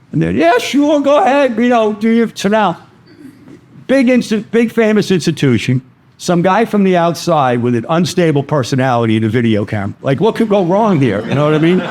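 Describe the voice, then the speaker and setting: A high-pitched man with a Brooklyn accent, fairly quick pace, very wide pitch swings, and very even loudness. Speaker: vascular access instructor. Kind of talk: lecture. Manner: animated.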